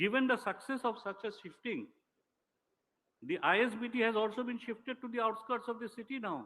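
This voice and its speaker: In a raised, projected voice with a bright, sharp tone, the speaker moves at a fairly quick pace with fairly even intonation. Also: man, extremely high pitch for a man. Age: 60s. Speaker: senior official, former lawyer. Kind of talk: ceremonial speech. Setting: public ceremony. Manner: formal.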